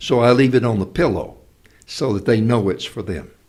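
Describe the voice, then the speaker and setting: The speaker uses a normal speaking voice, keeping a moderate pace and ordinary pitch variation. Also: man. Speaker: actor and speaker. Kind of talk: interview answer.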